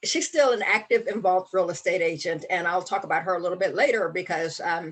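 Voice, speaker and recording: Fairly low in pitch, a woman speaks at a fairly quick pace with ordinary pitch variation. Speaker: real estate safety trainer. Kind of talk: online training presentation. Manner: fast.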